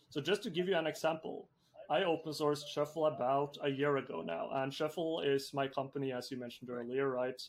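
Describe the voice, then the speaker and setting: A man with a Norwegian accent, fairly high-pitched and fairly quick, with ordinary pitch variation. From Norway. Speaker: software entrepreneur. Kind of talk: interview.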